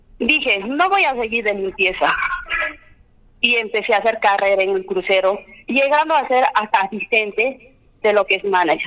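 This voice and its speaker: Noticeable background noise sits behind a woman speaking at a moderate pace. Her intonation is lively and her loudness very even. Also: fairly high pitch for a woman. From Peru, Cusco region (Limatambo). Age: 30s. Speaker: candidate for justice of the peace. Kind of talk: campaign interview.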